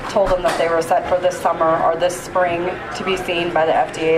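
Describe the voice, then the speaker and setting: A woman with a fairly low voice talks at a fairly quick pace in a flat monotone. Noticeable background noise and audible room echo surround her. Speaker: cannabis policy advocate. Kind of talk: convention speech. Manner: soft-spoken.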